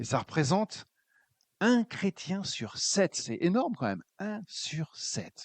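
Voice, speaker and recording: This male voice sounds dry and close, free of any echo. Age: 60s. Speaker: preacher, former pastor. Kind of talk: sermon. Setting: church.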